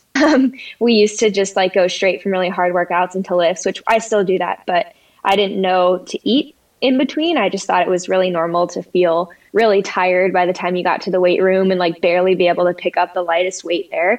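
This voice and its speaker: A woman with a General American accent and a normal speaking voice, medium pitch, a fairly quick pace and ordinary pitch variation. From Colorado. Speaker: dietitian and professional runner. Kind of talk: interview.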